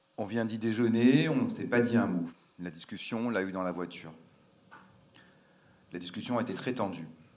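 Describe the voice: A man speaks fairly quickly at a fairly low pitch, with ordinary pitch variation and a slightly mellow tone. There is audible room echo.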